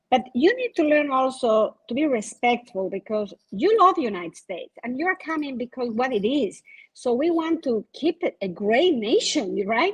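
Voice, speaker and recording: The speaker has a non-native accent and very wide pitch swings at a moderate pace. There are hardly any pauses, and the sound is dry and close with no echo. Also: woman, high pitch for a woman. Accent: foreign accent, non-native English. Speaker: insurance agent. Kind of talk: panel discussion.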